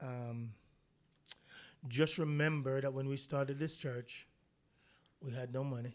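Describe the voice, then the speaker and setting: A man with a Jamaican accent speaks at a moderate pace. His pitch is fairly high and his intonation fairly even. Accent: Jamaican, still fairly heavy. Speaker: pastor. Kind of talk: casual chat.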